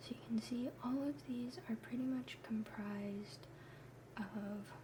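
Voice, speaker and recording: The pace is very slow. Noticeable background noise sits behind the voice. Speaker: pre-med student. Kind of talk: ASMR study lesson. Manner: whispered.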